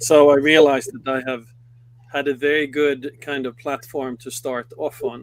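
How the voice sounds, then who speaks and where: A man with a Swedish accent speaks at a moderate pace in a fairly high pitch, his intonation flat and monotone. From Sweden. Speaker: company executive. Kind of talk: interview. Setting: studio.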